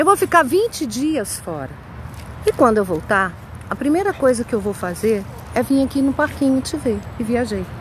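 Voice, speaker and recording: A woman talks at a moderate pace in a high pitch. Noticeable background noise runs behind her. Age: 60s. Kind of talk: testimony. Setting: outdoors walking her dog.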